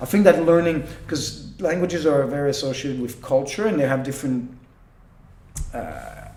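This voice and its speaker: Speaking with a Quebec accent, a man with a fairly high pitch and ordinary pitch variation talks at a moderate pace with long, frequent pauses, amid noticeable background noise and audible room echo. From Quebec, Canada (Quebec City). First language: French. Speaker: professional magician. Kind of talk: interview, casual chat. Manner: halting, with fillers and restarts.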